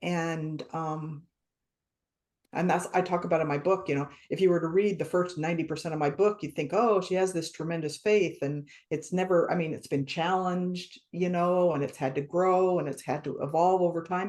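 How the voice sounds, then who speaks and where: The intonation is fairly even and the pace moderate in an unremarkable speaking voice. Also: woman, fairly low pitch for a woman. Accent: American. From small-town USA. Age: 60s. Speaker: author. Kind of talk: interview.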